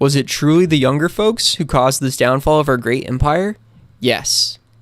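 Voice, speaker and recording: A man with an American accent, a plain, everyday voice, fairly high in pitch with ordinary variation, at a moderate pace. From US. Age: 20s. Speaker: video essay YouTuber. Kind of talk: scripted narration.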